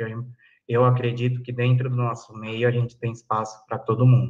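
A man speaks in a somewhat breathy voice. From São Paulo city, south zone. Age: 20s. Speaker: pipe dealer and historian. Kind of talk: interview.

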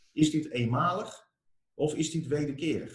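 A man talks in a somewhat breathy voice. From Armenia. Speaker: entrepreneur, company founder. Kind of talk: interview.

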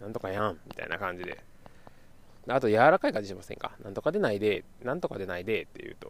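Talking at a very fast clip, a man lets his loudness rise and fall sharply. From Kyoto, Japan. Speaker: podcast host. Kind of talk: casual solo podcast monologue. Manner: chatty, rambling.

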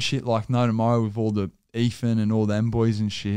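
A man talks at a moderate pace with an Australian accent and a dark, mellow tone. The recording is very clean, with a silent background. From Australia, Sydney. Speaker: social media content creator, podcast host. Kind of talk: casual chat. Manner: animated.

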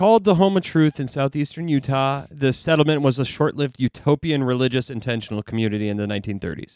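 Speaking at a very fast pace with hardly any pauses, a man with a fairly high pitch comes across in a dry, close sound with no echo. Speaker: podcast host. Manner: monotone.

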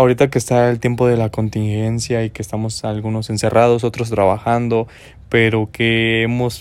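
The man talks with a central Mexican accent at medium pitch. His intonation is monotone and flat, his pace moderate. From Mexico, Guanajuato. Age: 20s. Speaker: podcaster. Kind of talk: motivational monologue. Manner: casual, rambling with repetitions.

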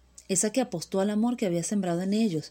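A woman speaks with a Venezuelan accent. Her pitch varies in an ordinary way. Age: 30s. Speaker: migrant sharing her story. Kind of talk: personal testimony, scripted narration.

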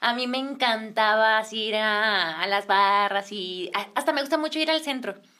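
The tone is bright and sharp, with ordinary pitch variation at a moderate pace. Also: woman, fairly high pitch for a woman. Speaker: singer and influencer. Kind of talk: casual chat.

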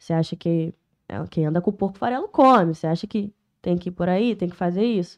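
The sound is dry and close with no echo. A woman with a normal speaking voice talks at a fairly quick pace and a fairly low pitch. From Niterói / São Gonçalo, Rio de Janeiro state, Brazil. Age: 20s. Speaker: rapper. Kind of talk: casual chat.

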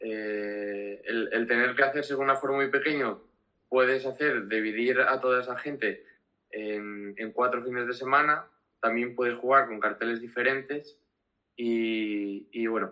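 Speaking at a fairly slow pace, a man with a bright, sharp tone keeps his medium-pitched voice fairly even in intonation. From Spain, Asturias (Gijón). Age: 20s. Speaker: social media manager for a music festival. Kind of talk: interview on a live stream. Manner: halting, many fillers and repetitions.

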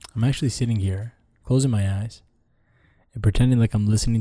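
A man speaks fairly low with a dark, mellow tone. His somewhat breathy delivery moves at a fairly quick pace. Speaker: podcast guest. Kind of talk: casual conversation. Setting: studio.

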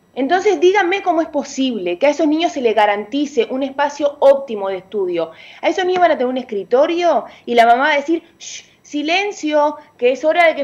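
Over noticeable background noise, a woman talks fairly quickly in a high pitch with lively intonation. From Uruguay. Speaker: parent activist. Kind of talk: radio interview. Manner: animated.

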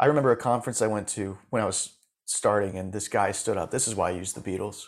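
An unremarkable speaking voice with an American accent moves at a fairly quick pace with ordinary pitch variation, in a very clean recording over a silent background. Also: man. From Florida, US. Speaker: music supervisor and coach for musicians. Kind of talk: interview.

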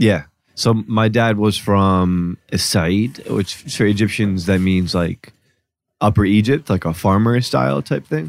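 A man speaks in an American accent with a fairly low pitch, very even loudness and ordinary pitch variation. It is an unremarkable speaking voice. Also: fairly slow pace. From Newark, New Jersey. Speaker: journalist and podcast host. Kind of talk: casual chat. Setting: studio.

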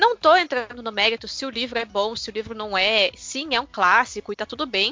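In a normal speaking voice, a woman with fairly high pitch and ordinary pitch variation talks at a fairly quick pace with hardly any pauses. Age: 30s. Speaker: teacher. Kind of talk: casual chat.

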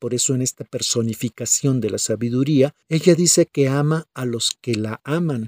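In a very clean, dry, close recording with a silent background and no echo, a man talks at a moderate pace in a dark, mellow tone, his fairly high pitch shaped by lively intonation. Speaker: pastor. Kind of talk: sermon.

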